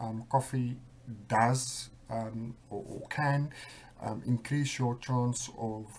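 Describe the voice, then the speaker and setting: A man speaks in a somewhat breathy voice. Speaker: vlogger with bipolar disorder. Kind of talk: personal video diary. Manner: hesitant, many fillers; speeding up.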